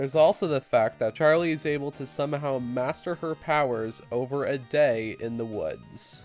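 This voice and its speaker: A man's fairly high voice at a moderate pace, with hardly any pauses and music playing behind him. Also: ordinary pitch variation. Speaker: amateur movie reviewer. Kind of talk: video essay narration.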